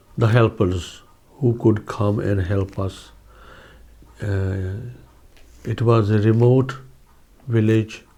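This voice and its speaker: A man with a fairly low, dark and mellow voice talks very slowly. His delivery is somewhat breathy, with long, frequent pauses. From India, Punjab (Phagwara, Jalandhar district). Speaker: oral history interviewee. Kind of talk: oral history interview. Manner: hesitant, many fillers.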